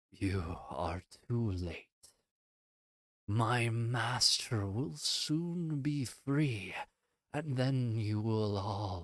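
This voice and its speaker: A man's put-on character voice at medium pitch, with lively intonation, a very slow pace and long, frequent pauses. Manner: eerie.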